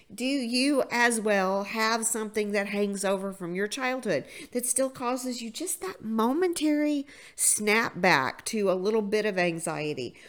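A woman with a normal speaking voice at a fairly slow pace, on a very clean recording with a silent background. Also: fairly high pitch for a woman, lively intonation. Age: 50s. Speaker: motivational podcast host. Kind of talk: motivational monologue.

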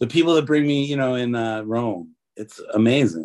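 Speaking at a fairly quick pace in a plain, everyday voice, a man with an American accent holds a medium pitch with ordinary pitch variation, the sound dry and close with no echo. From US Midwest (Detroit, Michigan). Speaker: tattoo artist. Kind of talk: interview.

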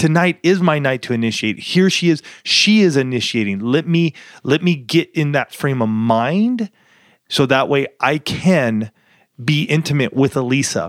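A man with an unremarkable speaking voice, fairly high-pitched, talks at a moderate pace with lively intonation and very even loudness, recorded dry and close with no echo on a very clean track with a silent background. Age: 40s. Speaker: marriage podcast co-host. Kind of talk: casual chat.

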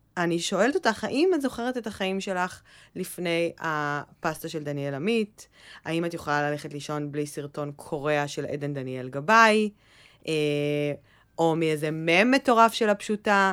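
An ordinary speaking voice, with lively intonation at a moderate pace. The recording is very clean, with a silent background. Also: woman, fairly low pitch for a woman. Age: 30s. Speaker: podcast co-host, content manager. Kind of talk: casual chat.

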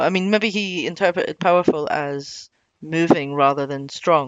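This woman has a Scottish accent. Her pitch sits fairly low. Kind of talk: casual chat.

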